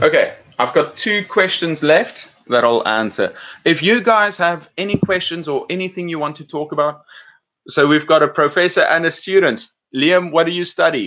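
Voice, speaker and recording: A man with an American accent speaks at a moderate pace. His loudness swings widely. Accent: South African with British and some American. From South Africa. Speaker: English teacher and YouTuber. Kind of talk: live stream chat. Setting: home live stream. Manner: casual, halting with fillers.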